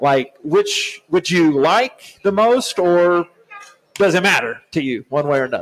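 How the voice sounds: A man talks at a fairly high pitch and a fairly slow pace. His intonation is lively.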